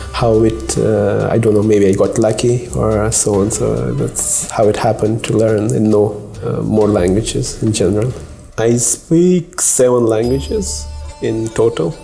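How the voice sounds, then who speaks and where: A man's fairly low voice with lively intonation at a fairly slow pace, over noticeable background noise. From Afghanistan. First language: Pashto and Persian. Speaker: finance company team lead. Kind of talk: interview. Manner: halting.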